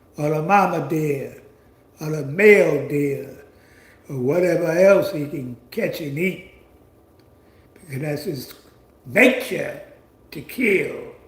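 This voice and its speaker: A man speaks at a high pitch with ordinary pitch variation and a very slow pace. Room echo is audible. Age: 70s. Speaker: commentary channel host. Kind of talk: monologue commentary. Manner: halting.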